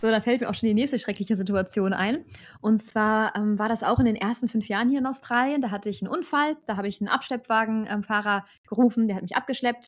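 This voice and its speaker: Pitch varies in an ordinary way while the words rush by at a very fast pace. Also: woman, fairly high pitch for a woman. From Germany. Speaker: German expat in Australia; channel host. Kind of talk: casual chat. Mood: amused storytelling. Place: home room. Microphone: studio mic.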